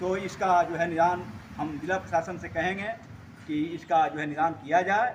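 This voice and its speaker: His pitch moves in an ordinary way, and this man's voice sits high. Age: 70s. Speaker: doctor and local resident. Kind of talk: interview.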